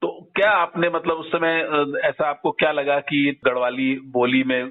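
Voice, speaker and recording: Ordinary pitch variation marks a man's plain, everyday voice. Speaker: radio interviewer. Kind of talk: interview questions.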